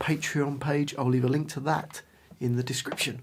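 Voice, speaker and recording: A man speaks in a somewhat breathy, fairly high voice. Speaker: guitar teacher. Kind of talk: tutorial.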